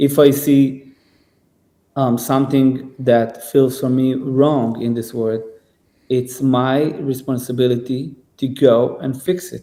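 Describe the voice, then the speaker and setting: Very slowly and in a flat monotone, a man with a non-native accent speaks at a medium pitch in a dark, mellow tone. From Israel. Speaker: singer and musician. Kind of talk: podcast conversation. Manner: halting, many repetitions and fillers.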